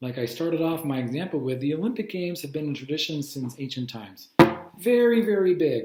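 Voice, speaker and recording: Speaking very fast, a man uses lively intonation at a fairly high pitch. Room echo is audible. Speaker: teacher. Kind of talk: lecture. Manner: casual.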